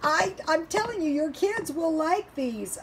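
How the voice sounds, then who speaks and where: Over noticeable background noise, a woman with an American accent talks in an extremely high pitch with lively intonation. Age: 60s. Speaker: home cooking and frugal living vlogger. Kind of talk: casual vlog talk. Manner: hesitant, many fillers.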